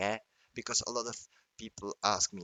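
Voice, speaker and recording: A man with a non-native accent. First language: not English. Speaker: trading chart analyst. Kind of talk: tutorial. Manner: halting.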